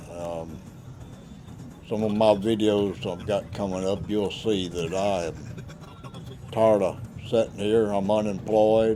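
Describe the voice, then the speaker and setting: Over background music, a man talks fairly slowly in a Southern US accent. His voice is fairly low, and his intonation stays fairly even. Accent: country Southern. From Louisiana. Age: 60s. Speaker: vlogger, former insurance adjuster. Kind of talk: casual narration over home video. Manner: halting.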